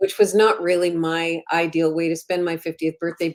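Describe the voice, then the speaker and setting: In a Canadian accent, a woman with a plain, everyday voice speaks at a moderate pace, her fairly low pitch carried by fairly even intonation. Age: 60s. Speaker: women's advocate and writer. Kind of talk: podcast interview.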